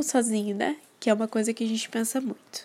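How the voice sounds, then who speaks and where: Her fairly high voice stays flat and monotone, the woman barely shifting her intonation. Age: 18 years old. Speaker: podcast host. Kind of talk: personal monologue.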